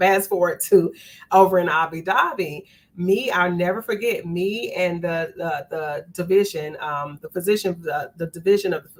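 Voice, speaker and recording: A woman speaks in an animated tone with an American accent. Her pitch is medium. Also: moderate pace. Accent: Southern US, noticeable abroad. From US South, North Carolina. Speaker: nurse leader. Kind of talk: interview.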